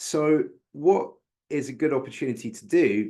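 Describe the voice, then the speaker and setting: A man with a British accent at a very slow pace, in a quiet background. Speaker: bookkeeping speaker. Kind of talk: webinar presentation.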